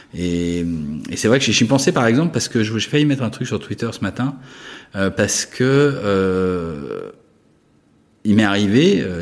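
Fairly slow in pace, a man speaks with a fairly low pitch. His intonation is lively. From France (Paris, Savoyard roots). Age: 50s. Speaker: art critic and gallerist. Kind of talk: interview. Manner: hesitant, many fillers.

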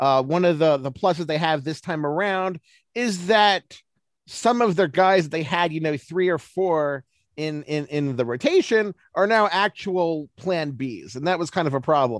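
A man with a plain, everyday voice talks at a moderate pace and a fairly high pitch, with ordinary pitch variation against a quiet background. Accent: American. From Baltimore, US. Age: 40s. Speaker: baseball analyst. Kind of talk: interview.

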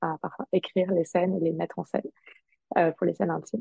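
A woman talks at a medium pitch. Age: 20s. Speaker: sex counselor and streamer. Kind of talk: casual chat.

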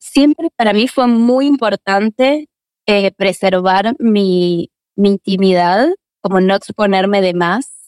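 Speaking at a fairly slow pace, a woman with an ordinary speaking voice sits at medium pitch with ordinary pitch variation, in a dry, close sound with no echo. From Argentina (Buenos Aires). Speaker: actress and acting teacher. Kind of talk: interview conversation.

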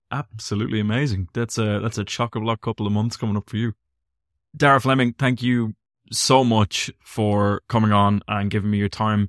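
A man with an Irish accent talks at a moderate pace in a fairly low pitch, his intonation fairly even. The recording is very clean and dry, close, with no echo and a silent background. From Ireland. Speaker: podcast host. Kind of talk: interview.

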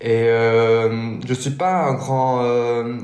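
Audible room echo surrounds this man's voice. His medium pitch stays in a flat monotone. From Belgium. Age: 20s. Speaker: duathlete. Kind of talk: interview.

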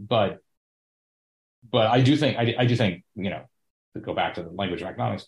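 A man with an American accent, fairly low pitch, ordinary pitch variation, a somewhat breathy quality, big swings in loudness, a fairly quick pace, and long, frequent pauses. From US, Indian American family. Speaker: podcast guest, business consultant. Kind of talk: casual conversation and discussion.

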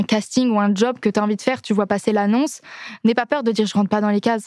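A woman talks at a fairly quick pace in a fairly high voice. The recording is very clean, with a silent background. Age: 20s. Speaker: singer. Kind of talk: casual chat. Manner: animated.

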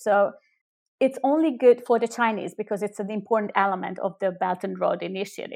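On a very clean recording with a silent background, a woman speaks at a moderate pace and a fairly high pitch with ordinary pitch variation. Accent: Hungarian. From Hungary. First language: Hungarian. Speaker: politician. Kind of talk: interview.

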